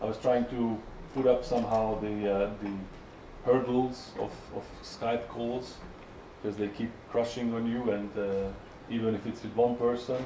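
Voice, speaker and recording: In a Hungarian accent, a man talks at a medium pitch with monotone, flat intonation and long, frequent pauses. Noticeable background noise and audible room echo fill the recording. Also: moderate pace. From Hungary. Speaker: software tester. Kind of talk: conference talk. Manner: halting, many fillers.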